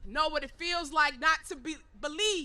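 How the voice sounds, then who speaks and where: A woman's raised, projected voice with a New York accent. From Harlem, New York. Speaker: activist speaker. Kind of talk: rally speech. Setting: outdoor rally with crowd. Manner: animated.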